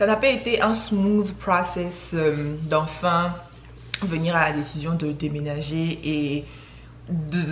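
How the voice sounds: Audible room echo surrounds a woman's voice. Her pitch is fairly low and her tone fairly bright.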